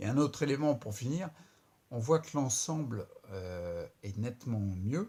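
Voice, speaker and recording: Somewhat breathy, a man speaks at medium pitch with a dark, mellow tone. His intonation is lively. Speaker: vlogger with multiple sclerosis. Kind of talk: video diary. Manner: halting, stumbling over words; casual.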